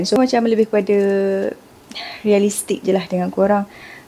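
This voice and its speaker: A soft-spoken woman talks at a fairly quick pace. Noticeable background noise runs behind her. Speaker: lifestyle vlogger. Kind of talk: casual vlog narration. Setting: home kitchen at night. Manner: soft-spoken, quiet.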